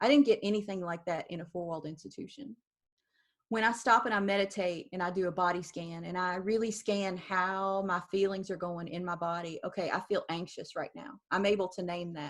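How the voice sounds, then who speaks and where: A woman with a plain, everyday voice speaks at a fairly quick pace and a medium pitch, with ordinary pitch variation. The recording is very clean, with a silent background. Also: big swings in loudness. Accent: American. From US South. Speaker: founder of a spiritual art practice. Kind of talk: interview.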